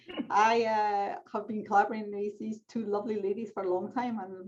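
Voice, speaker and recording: Talking at a fairly quick pace, a woman speaks in a Scottish accent. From Scotland. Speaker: clinical pharmacologist. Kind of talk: panel discussion.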